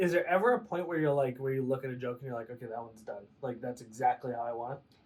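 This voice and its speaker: Delivered at a very fast pace with ordinary pitch variation, the speech sits over noticeable background noise. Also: man, medium pitch for a man. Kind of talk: podcast interview host. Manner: casual, playful.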